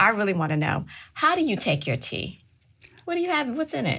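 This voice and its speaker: The voice has a bright, sharp tone with vocal fry, very wide pitch swings and a fairly quick pace. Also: woman, medium pitch for a woman. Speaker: podcast host. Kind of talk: podcast interview host.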